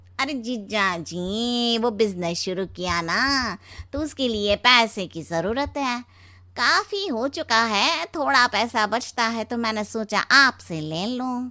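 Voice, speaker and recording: In a cartoonish character voice, a woman speaks at a fairly high pitch with lively intonation and a fairly slow pace, on a very clean recording with a silent background. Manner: jovial.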